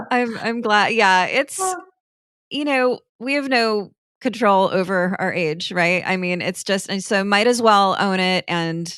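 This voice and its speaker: A woman speaks at a fairly slow pace in an ordinary speaking voice with ordinary pitch variation. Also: medium pitch for a woman. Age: 40s. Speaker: podcast host. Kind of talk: interview host talk.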